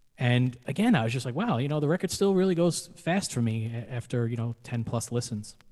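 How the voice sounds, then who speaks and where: With a dark, mellow tone, a man at medium pitch talks at a fairly quick pace using lively intonation. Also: hardly any pauses. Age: 40s. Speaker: podcast host. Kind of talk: casual chat.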